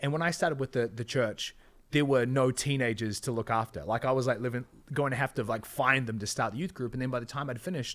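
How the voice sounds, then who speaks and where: The speaker has a New Zealand accent and ordinary pitch variation. The pace is very fast. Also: man, medium pitch for a man. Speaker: entrepreneur and business coach. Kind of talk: podcast interview. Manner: casual, filler-heavy.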